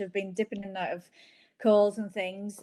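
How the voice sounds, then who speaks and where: A woman speaks at a medium pitch with a Northern Irish accent. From Northern Ireland. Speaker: company founder. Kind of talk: interview. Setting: video call.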